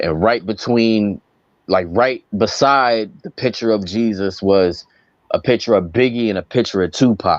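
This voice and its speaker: A fairly slow, fairly low-pitched man with an East Coast US accent, in a dry, close sound with no echo. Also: ordinary pitch variation. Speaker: rapper. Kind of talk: casual interview chat. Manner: animated, with many fillers.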